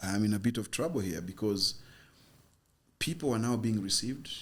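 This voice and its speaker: With an American accent, a man speaks at a fairly quick pace in a fairly low pitch. His voice is somewhat breathy and shows ordinary pitch variation. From Kenya, Luo. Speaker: immigrant sharing life story. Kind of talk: interview storytelling.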